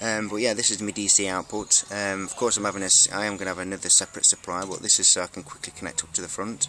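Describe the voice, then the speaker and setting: In an English accent, a man talks at a very fast pace and a fairly low pitch over noticeable background noise. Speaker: electronics hobbyist YouTuber. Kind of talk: show-and-tell tutorial. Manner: hesitant with many fillers.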